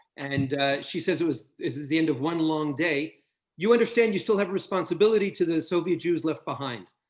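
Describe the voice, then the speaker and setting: Talking at a fairly quick pace with a New York accent, a man with a fairly high pitch uses ordinary pitch variation. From US Northeast, New York City. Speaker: author and interviewer. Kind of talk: interview.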